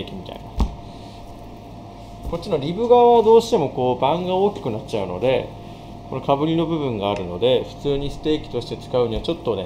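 A man talks at a very fast pace. Noticeable background noise is audible behind him. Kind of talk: tutorial. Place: kitchen.

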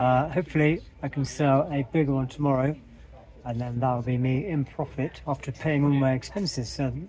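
A man's somewhat breathy voice with fairly even intonation comes through dry, without echo, over light background noise. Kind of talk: casual vlog chat. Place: market. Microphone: phone near.

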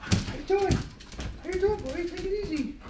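Clear background noise beneath a put-on character voice. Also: fairly quick pace. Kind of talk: acted casual talk to a dog. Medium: short film. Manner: friendly, coaxing. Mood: excited, soothing.

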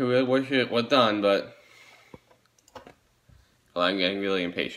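The voice belongs to a man. His pitch shifts in a typical way. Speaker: vlogger. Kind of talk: casual vlog chat. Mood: impatient, a bit bored. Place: home room. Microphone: phone near.

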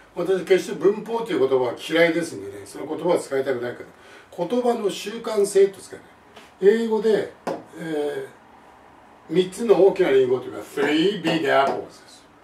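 At a moderate pace and with lively intonation, the voice swings widely in loudness against audible room echo. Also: man, high pitch for a man. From Japan. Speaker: English teacher. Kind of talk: lecture. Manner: formal. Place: home room.

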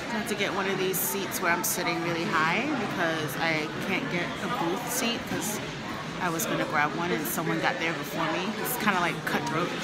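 Moderate-paced speech with music in the background. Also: woman. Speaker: vlogger. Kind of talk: casual vlog chat. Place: cafe. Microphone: phone near.

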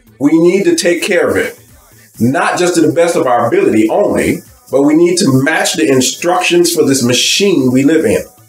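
Faint music plays behind a man with a high pitch and ordinary pitch variation, and room echo is audible. He talks at a moderate pace. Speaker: bible teacher. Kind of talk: sermon. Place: home room. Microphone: webcam.

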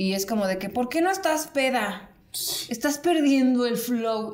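A woman with a Mexican accent talks at a moderate pace. Her intonation is lively. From Mexico. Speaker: podcast host. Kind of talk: casual chat. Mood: relaxed, joking, chatty. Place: home room.

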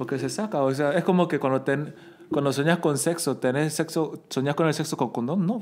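An ordinary speaking voice from a man, fairly high-pitched with ordinary pitch variation, at a fairly quick pace with very even loudness. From Bolivia. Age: 30s. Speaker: podcast guest. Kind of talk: casual chat. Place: home room. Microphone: studio mic.

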